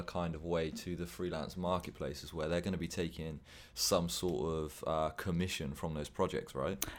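A man with an English accent and a very deep, low pitch speaks at a fairly quick pace with vocal fry, in a very clean recording with a silent background. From England. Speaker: podcast co-host and freelancer. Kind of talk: casual interview.

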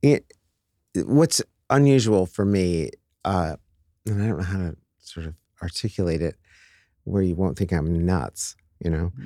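A man with an American accent, very deep and low in pitch, in a dark, mellow tone with lively intonation, at a moderate pace with long, frequent pauses, on a very clean recording with a silent background and a dry, close sound with no echo. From upstate New York. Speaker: real estate executive. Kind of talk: casual interview chat.

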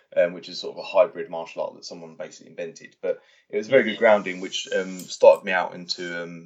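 This man has a southern English accent. He speaks at a fairly quick pace. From England, Watford (Hertfordshire). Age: 30s. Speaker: stunt performer. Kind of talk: interview. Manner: halting.

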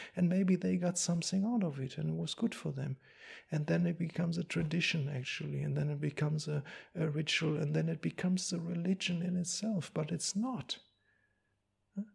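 The recording is very clean, with a silent background. A man with a German accent talks at a fairly quick pace. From Germany. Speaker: Buddhist monk. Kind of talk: dharma talk. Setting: monastery. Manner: halting.

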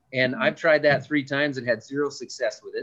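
Speaking with an Upper Midwest accent, a man has a fairly high pitch. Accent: Upper Midwest American. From West Central Minnesota. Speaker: farmer. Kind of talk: casual interview.

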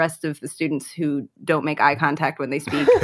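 A woman speaks with a very deep, low pitch and monotone, flat intonation. The recording is very clean, with a silent background. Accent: American. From Chicago. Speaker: podcast co-host, comedy writer. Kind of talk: casual chat.

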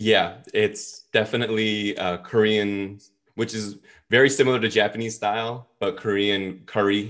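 A man with an unremarkable speaking voice, fairly low in pitch, at a fairly slow pace. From New York (Brooklyn). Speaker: business school professor. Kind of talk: interview.

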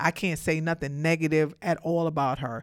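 A woman speaks at a fairly quick pace in an animated tone, her pitch very deep and low, on a very clean recording with a silent background. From New York, Brooklyn. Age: 40s. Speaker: podcast host. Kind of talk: casual monologue.

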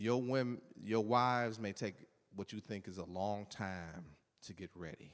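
A man with a fairly low pitch, ordinary pitch variation, a fairly slow pace and an unremarkable speaking voice. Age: 50s. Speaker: pastor. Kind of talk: sermon.

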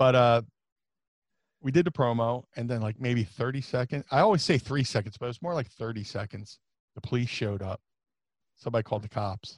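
A man's medium-pitched voice at a fairly quick pace, with long, frequent pauses, ordinary pitch variation and a dry, close sound with no echo. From US Northeast (South Jersey). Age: 40s. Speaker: professional wrestler. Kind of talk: interview, casual chat. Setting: remote call across time zones.

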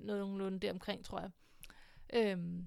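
At a very fast pace, a woman with a medium pitch speaks in a monotone with flat intonation. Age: 20s. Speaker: podcast host. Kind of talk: personal monologue. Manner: hesitant, many filler sounds.

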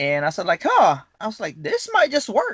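The speaker has a Filipino accent. The sound is dry and close, with no echo. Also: man. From Philippines. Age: 30s. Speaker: firearm customizer, business owner. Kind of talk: casual interview.

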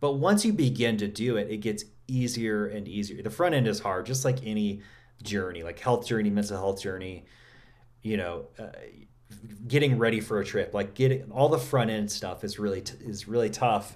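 Speaking in a normal speaking voice with an American accent, a man keeps a moderate pace, a fairly low pitch and ordinary pitch variation. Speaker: masculine wholeness coach. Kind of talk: casual interview chat.

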